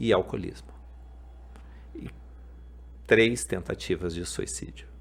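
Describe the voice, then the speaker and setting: Very slowly, a man talks with vocal fry at a very deep, low pitch that makes very wide swings. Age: 50s. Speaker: podcast host. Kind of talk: testimony.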